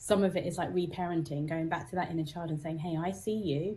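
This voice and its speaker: With a British accent, a woman speaks very fast in a fairly low, somewhat breathy voice with a dark, mellow tone and fairly even intonation. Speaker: psychotherapist and musician. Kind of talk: interview.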